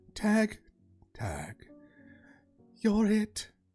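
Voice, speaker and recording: A shaky, put-on character voice plays over faint background music. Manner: shaky, taunting.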